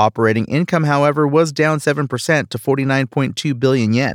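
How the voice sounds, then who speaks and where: A man's normal speaking voice in a medium pitch, with ordinary pitch variation and a fairly quick pace, recorded very clean against a silent background, with a dry, close sound and no echo. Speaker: news presenter. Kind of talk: formal newsreading. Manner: formal.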